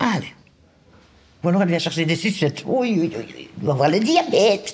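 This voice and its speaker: Over noticeable background noise, a man with a high pitch speaks at a moderate pace, his intonation lively and his loudness swinging widely. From Belgium, Brussels (Anderlecht). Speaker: social welfare office employee. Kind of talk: casual chat.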